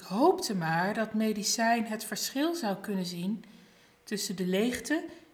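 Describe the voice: Lively intonation in plain reading aloud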